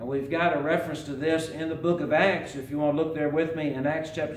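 A man speaks with fairly even intonation. Audible room echo and light background noise surround him. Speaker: preacher. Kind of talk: sermon. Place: church. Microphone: podium.

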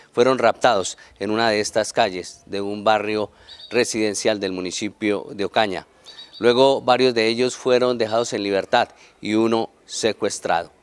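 A man with a plain, everyday voice speaks at a moderate pace. His pitch is fairly low and his intonation fairly even. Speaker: TV journalist. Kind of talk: news report to camera. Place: street. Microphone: handheld.

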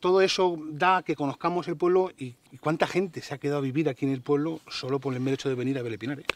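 A plain, everyday voice from a man, fairly high in pitch, with lively intonation. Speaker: social media nature blogger. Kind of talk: interview.

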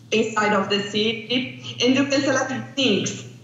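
Audible room echo surrounds a woman who talks at a fairly slow pace in a high voice with lively intonation. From Brazil. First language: Portuguese. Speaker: landscape planning researcher; remote conference presenter. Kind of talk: conference presentation. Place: hall. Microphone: video call.

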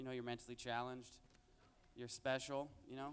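A man's voice at medium pitch. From Mexican-American, raised in a Mexican town. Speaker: stand-up comedian. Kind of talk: stand-up comedy set with jokes and crowd interaction. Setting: stage with audience. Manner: conversational, with filler words and laughing at his own punchlines. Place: stage. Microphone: handheld.

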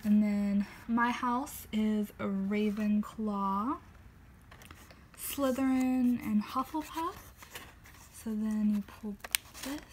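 Over light background noise, a woman with a fairly high pitch and ordinary pitch variation talks at a very slow pace, with long, frequent pauses. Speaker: book reviewer. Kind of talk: book walkthrough, casual talk to camera. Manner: not whispered. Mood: cheerful, gentle. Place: home room. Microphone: phone near.

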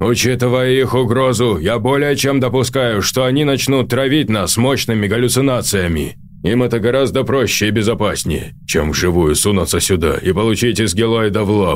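Against clear background noise, a man speaks at a fairly quick pace and medium pitch with very even loudness. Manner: authoritative, urgent.

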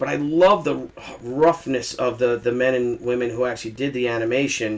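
A man of medium pitch at a fairly quick pace

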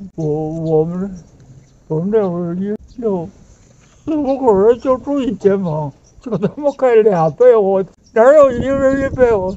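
A man with a Beijing accent speaks in a high pitch with lively intonation, at a fairly slow pace. His long, frequent pauses come over light background noise. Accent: Beijing Mandarin. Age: 80s+. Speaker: elderly local resident. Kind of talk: street interview answer. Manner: stammering. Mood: reminiscing about hard times. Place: street. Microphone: phone near.

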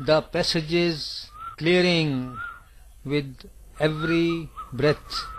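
Long, frequent pauses break up very slow speech while noticeable background noise runs underneath. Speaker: meditation guide. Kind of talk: guided meditation (yoga nidra) instruction. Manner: slow, calm, soothing.

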